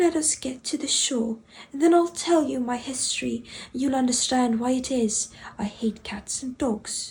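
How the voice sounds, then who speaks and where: A woman speaks in a high, shaky voice. It is a put-on character voice. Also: moderate pace. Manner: trembling.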